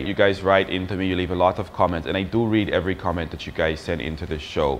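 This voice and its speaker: Over noticeable background noise, a man with a very deep, low pitch speaks at a very fast pace with ordinary pitch variation. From Australia. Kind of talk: casual talk to camera.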